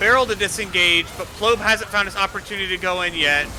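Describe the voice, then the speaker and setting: Against noticeable background noise, a man talks at a high pitch with ordinary pitch variation. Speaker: esports caster. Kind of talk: live commentary. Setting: live stream. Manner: fast; animated.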